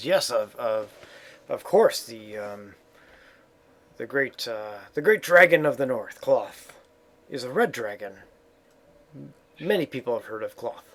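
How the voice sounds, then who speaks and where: This is a put-on character voice with a raspy sound. It moves at a fairly slow pace with long, frequent pauses. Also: man, fairly high pitch for a man. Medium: actual play. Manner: hesitant, halting.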